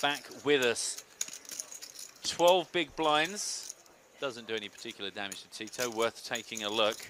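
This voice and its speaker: A man's medium-pitched voice at a fairly slow pace, with long, frequent pauses, lively intonation and big swings in loudness over noticeable background noise. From England, Essex. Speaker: poker commentator. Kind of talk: live commentary. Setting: small commentary booth.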